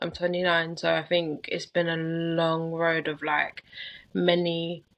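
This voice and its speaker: A woman speaks with a London accent. Her pitch is fairly low. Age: 20s. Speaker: coaching client. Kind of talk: interview.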